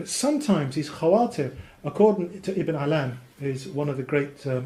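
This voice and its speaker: Audible room echo surrounds a man whose fairly high pitch shows ordinary variation. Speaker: Islamic teacher. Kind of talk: lecture. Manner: fast.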